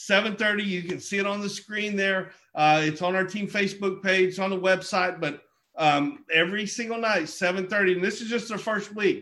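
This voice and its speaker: Projecting a raised voice, a man with an American accent speaks in a high pitch with a bright, sharp tone. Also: fairly slow pace. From southeastern Oklahoma. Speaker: network marketing leader hosting a call. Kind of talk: motivational business call. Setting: group conference call. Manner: halting, filler-heavy, enthusiastic.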